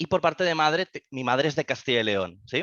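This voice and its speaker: A man speaks with lively intonation. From Catalonia, Spain. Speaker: crypto trader and investor. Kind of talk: podcast interview. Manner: halting, many fillers.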